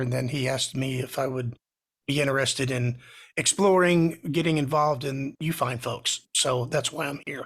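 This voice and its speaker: Moderate-paced speech from a man at a medium pitch, its intonation fairly even. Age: 60s. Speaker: music producer. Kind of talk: casual self-introduction in online meeting. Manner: hesitant, many fillers.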